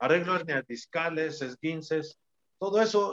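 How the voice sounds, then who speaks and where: Dry and close with no echo, a man's fairly high voice moves fairly slowly with fairly even intonation. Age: 60s. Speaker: retired professional wrestler. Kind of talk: casual interview.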